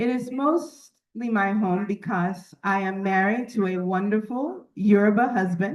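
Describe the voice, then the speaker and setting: At a fairly slow pace, a woman with an American accent and an unremarkable speaking voice talks at medium pitch with ordinary pitch variation. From United States. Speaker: business executive and conference speaker. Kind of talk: formal keynote speech. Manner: formal.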